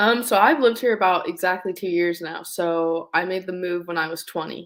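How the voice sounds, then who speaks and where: Speaking at a fairly quick pace in an American accent, a woman has an unremarkable speaking voice of medium pitch with ordinary pitch variation. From Southern California. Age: 20s. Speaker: racing driver. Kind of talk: casual interview.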